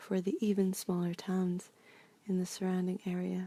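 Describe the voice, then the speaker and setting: The voice is soft-spoken and relaxed in tone, moving at a moderate pace. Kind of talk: soft-spoken ASMR ramble. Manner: soft-spoken, relaxed, rambling with hesitations.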